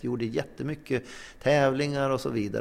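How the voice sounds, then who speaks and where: A man speaks with vocal fry. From northern Sweden (Norrland inland). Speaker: psychologist and sports club volunteer. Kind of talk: interview. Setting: clubhouse. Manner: animated.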